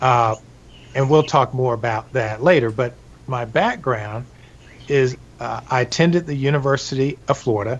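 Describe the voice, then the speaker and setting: With a medium pitch and ordinary pitch variation, a somewhat breathy man speaks at a moderate pace, leaving long, frequent pauses. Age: 60s. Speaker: massage therapist. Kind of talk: interview. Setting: live stream.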